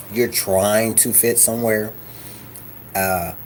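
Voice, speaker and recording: Against noticeable background noise, a man with a fairly low pitch speaks at a very slow pace. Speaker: vlogger. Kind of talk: casual vlog monologue. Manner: animated.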